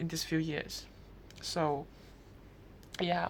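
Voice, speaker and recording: A woman is speaking. Her pace is fairly slow. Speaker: vlogger. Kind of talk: casual vlog monologue. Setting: indoors in brother's room. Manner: halting.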